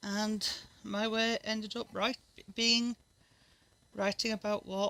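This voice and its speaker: A woman speaks in a Northern English accent with a bright, sharp tone. Her delivery is fairly slow and monotone, with flat intonation. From Northern England. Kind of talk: casual talk to camera.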